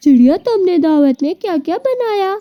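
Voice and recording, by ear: This is a woman doing a cartoonish character voice. Her pitch is extremely high.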